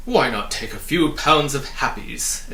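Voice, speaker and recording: A man's put-on character voice, raised, projected and booming, at a fairly high pitch and a fairly slow pace, with clear background noise. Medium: read story. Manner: hawking, persuasive.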